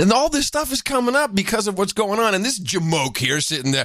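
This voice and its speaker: A man speaks in a raised, projected voice at a high pitch and a fairly quick pace, with very wide pitch swings, very even loudness and noticeable background noise. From Netherlands. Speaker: podcast host. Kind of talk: casual chat. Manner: animated.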